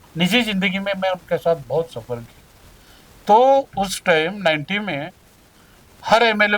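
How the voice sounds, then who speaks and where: Loudness swings a lot in this voice, and the intonation is lively. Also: man. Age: 70s. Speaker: politician. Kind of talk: interview.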